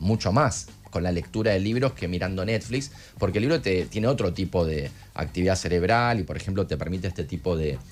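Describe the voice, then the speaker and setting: With music in the background, a man speaks in a Rioplatense accent using lively intonation. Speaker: neuroscientist guest. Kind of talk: casual chat. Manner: fast.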